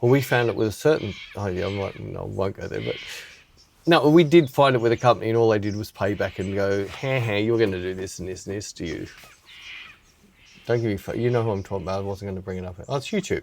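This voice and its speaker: A man with an Australian accent talks at a very fast pace in a fairly low pitch, with ordinary pitch variation and big swings in loudness. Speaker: podcast host, photographer. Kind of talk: casual chat.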